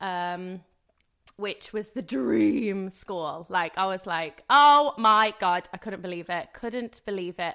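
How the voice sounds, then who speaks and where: In a West Midlands accent, a woman speaks very slowly at medium pitch with a bright, sharp tone. The recording is very clean, with a silent background. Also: lively intonation. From English Midlands (Rugeley, Staffordshire). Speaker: singer and dancer. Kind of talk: casual interview chat.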